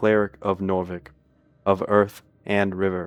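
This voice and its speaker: In a put-on character voice, a man speaks at a moderate pace with a fairly low pitch and monotone, flat intonation. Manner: smirking, threatening, imperious.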